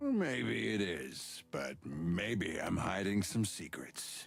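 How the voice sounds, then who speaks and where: In a put-on character voice, a man speaks very slowly, raspy and at a very deep, low pitch. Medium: video game. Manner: teasing, wry.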